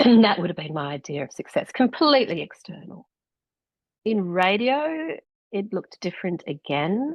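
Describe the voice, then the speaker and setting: With an Australian accent, a woman talks at a moderate pace with lively intonation and vocal fry. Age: 60s. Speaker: author and former radio presenter. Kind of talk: interview conversation.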